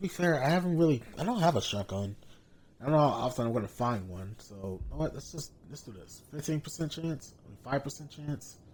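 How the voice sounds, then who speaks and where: Talking at a fairly quick pace in an unremarkable speaking voice, the speaker uses lively intonation and big swings in loudness. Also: man, fairly high pitch for a man. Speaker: gaming streamer. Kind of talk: let's play commentary.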